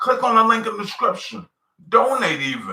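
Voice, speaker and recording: In an American accent, a man speaks at a moderate pace in a raised, projected voice. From New York City. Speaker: musician live-streamer. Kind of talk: live stream monologue. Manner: halting, many repetitions.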